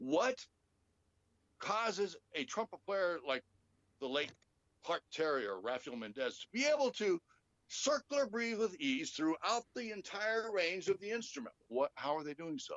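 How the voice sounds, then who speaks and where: A man with an American accent speaks at a moderate pace. His high pitch swings very widely. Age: 60s. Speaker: trumpet session player. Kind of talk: interview explaining technique.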